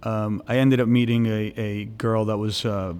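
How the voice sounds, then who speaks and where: A man's fairly low pitch with fairly even intonation. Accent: New York. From New York City (Brooklyn, Staten Island). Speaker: nightclub entrepreneur. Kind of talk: interview. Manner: halting.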